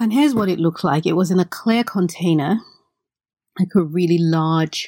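A woman at a fairly low pitch, slightly mellow in tone, moderate in pace, with fairly even intonation

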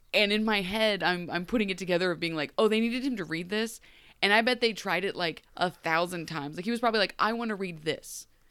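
Speaking very fast in a Midwestern accent, a woman with a medium pitch and ordinary pitch variation sounds animated, her tone bright and sharp on a very clean recording with a silent background. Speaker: podcast host. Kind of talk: casual chat.

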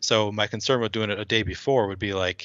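A man with a fairly low pitch has a normal speaking voice and an American accent. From Minnesota, Twin Cities. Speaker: fantasy sports player and lawyer. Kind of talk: casual chat.

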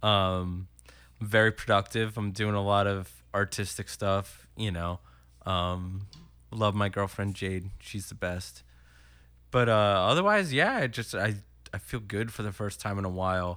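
A man's fairly low-pitched voice with fairly even intonation, an unremarkable speaking voice, and an American accent. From Philadelphia suburbs (Willow Grove/Horsham, PA). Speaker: musician. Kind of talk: casual chat.

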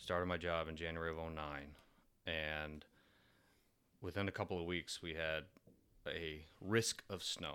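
A man with a Michigan accent speaks in a very deep, low pitch and a bright, sharp tone, at a fairly slow pace with fairly even intonation and long, frequent pauses. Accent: Michigan (Inland North) American. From Michigan, suburbs of Detroit. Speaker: navy engineer and father of three. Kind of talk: casual chat. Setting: at the host's home.

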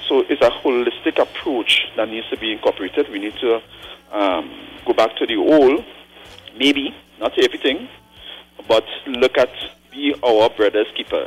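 A man at a moderate pace with long, frequent pauses, over noticeable background noise. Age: 40s. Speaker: caller. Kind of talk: call-in opinion.

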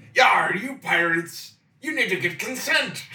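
A man's put-on character voice, pitched high. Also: moderate pace. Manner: exaggerated pirate drawl.

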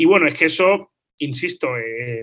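This man's bright, sharp tone sits at a fairly high pitch, with ordinary pitch variation. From Spain, Málaga. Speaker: lawyer and international relations professor. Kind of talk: interview conversation. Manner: halting, with frequent repetitions.

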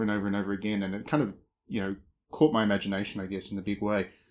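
In an Australian accent, a man talks with a fairly low pitch. The recording is very clean, with a silent background. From rural Australia. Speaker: games journalist. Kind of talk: casual chat.

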